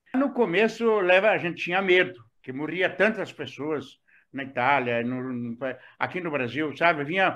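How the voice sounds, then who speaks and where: Against a quiet background, a man talks at a moderate pace. His pitch moves in very wide swings. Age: 70s. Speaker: retiree, former business administrator. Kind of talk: interview.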